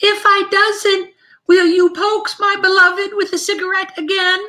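A put-on character voice, squeaky and extremely high in pitch. It holds a moderate pace with monotone, flat intonation. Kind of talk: fiction reading aloud.

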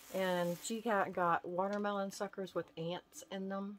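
A woman talks at a very slow pace while noticeable noise runs in the background. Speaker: vlogger. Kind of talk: casual haul vlog chat. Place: home room. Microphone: phone near.

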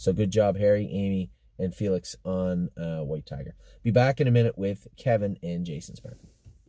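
Over a quiet background, a man speaks at a moderate pace in a very deep, low voice with a dark, mellow tone, the sound dry with no echo. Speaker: horse trainer and owner. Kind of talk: casual barn update commentary. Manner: conversational, hesitant, with filler words. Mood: relaxed, upbeat. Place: car. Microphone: phone near.

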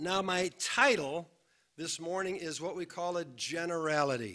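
Speaking at a fairly slow pace, a man has a bright, sharp tone and ordinary pitch variation over a quiet background. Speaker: pastor. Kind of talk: sermon. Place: church. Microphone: podium.

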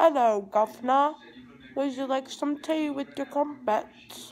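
A female-sounding voice puts on a character voice. The pitch is high for a woman. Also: fairly slow pace.

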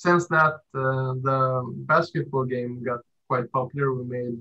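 A man's bright, sharp tone at a fairly slow pace, with little pitch movement. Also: medium pitch for a man.

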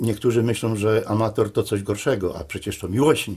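Against a quiet background, a man speaks with a Silesian accent. His voice is somewhat breathy. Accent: Silesian Polish. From Upper Silesia, Poland. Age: 60s. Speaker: amateur filmmaker; interviewee. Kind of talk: interview testimony. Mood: nostalgic, heartfelt. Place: home room.

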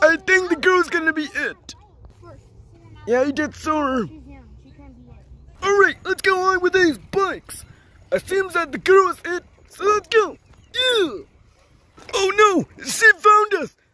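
An extremely high-pitched cartoonish character voice speaks with long, frequent pauses. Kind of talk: playful kid puppet play. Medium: puppet show.

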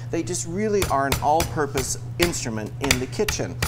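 Loud background noise surrounds the clip. Through it, a man is talking. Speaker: TV chef host. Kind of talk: cooking demonstration tutorial. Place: studio. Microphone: lapel.

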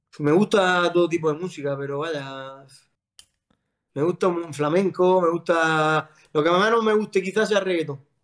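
Against a quiet background, a man with a high voice speaks at a fairly slow pace. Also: ordinary pitch variation. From Andalusia, Spain (Almería); Andalusia, Spain. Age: 30s. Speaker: footballer; guest. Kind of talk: casual chat. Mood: relaxed, joking. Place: home room. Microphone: video call.

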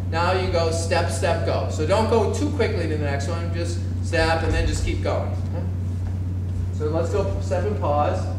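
A man speaks at a fairly slow pace with long, frequent pauses. Audible room echo and noticeable background noise surround him. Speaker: fencing coach. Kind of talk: tutorial. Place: gym.

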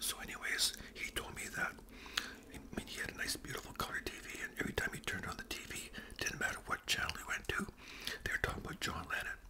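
Whispering at a very fast pace, a man gets his words out quickly. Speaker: storyteller. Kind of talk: casual vlog chat while eating. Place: home room. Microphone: webcam.

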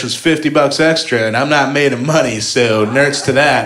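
Noticeable background noise beneath a voice of ordinary pitch variation. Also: man. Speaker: stand-up comedian. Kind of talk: stand-up comedy. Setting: stage with audience. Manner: animated, sarcastic, rapid-fire punchlines; casual, conversational, with laughs and filler words.

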